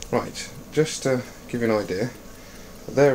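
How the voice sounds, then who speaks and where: A man keeps to a moderate pace and fairly even intonation while noticeable background noise plays behind him. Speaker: air rifle hunter and video maker. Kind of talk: tutorial. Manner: casual; quiet.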